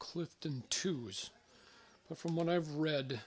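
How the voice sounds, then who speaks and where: Speech comes very slowly, with ordinary pitch variation and a somewhat breathy quality. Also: man. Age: 60s. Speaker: runner reviewing shoes. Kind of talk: casual product review vlog. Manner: casual, hesitant with fillers.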